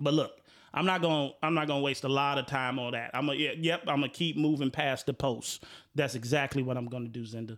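A man's fairly high voice at a fairly quick pace, on a very clean recording with a silent background. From Chicago. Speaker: podcast host. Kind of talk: casual chat. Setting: studio. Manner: animated.

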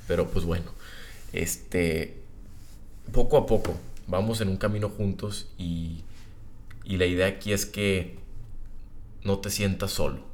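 Slowly, at a fairly slow pace, a man with a very deep, low pitch speaks with fairly even intonation amid audible room echo. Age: 20s. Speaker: podcast host. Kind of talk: casual monologue. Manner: casual, conversational.

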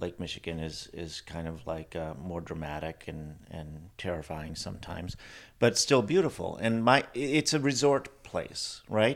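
Recorded very cleanly against a silent background, a man with an Upper Midwest accent speaks at a fairly slow pace in a very deep, low pitch with lively intonation. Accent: Upper Midwest American. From Wisconsin, Milwaukee area. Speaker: playwright and director. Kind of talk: casual interview. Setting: on location in Door County.

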